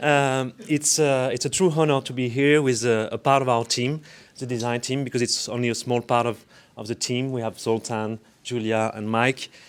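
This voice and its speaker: A man speaks at a moderate pace with a French accent. His pitch is medium and his intonation fairly even. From France. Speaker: architect and urban designer. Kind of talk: design presentation to community. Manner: halting, many fillers.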